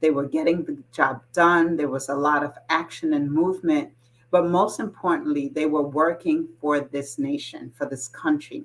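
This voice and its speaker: A woman with a normal speaking voice, fairly low in pitch, talks at a moderate pace with ordinary pitch variation. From New York, US (moved from Jamaica at age seven). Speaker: political candidate, retired teacher and army officer. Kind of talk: campaign self-introduction.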